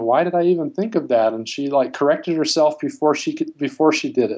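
A man's fairly high voice at a fairly quick pace. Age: 30s. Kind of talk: emotional personal call. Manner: halting, hesitant.

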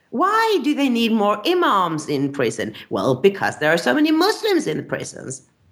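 Speaking at a moderate pace with hardly any pauses, a woman talks in a Swedish accent. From Sweden. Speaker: journalist. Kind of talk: interview.

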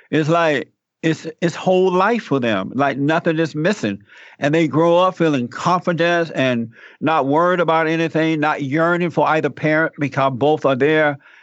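Very even in loudness, a man talks at a fairly high pitch with ordinary pitch variation. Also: moderate pace. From US South, Alabama. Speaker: pastor and radio talk show host. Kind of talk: interview.

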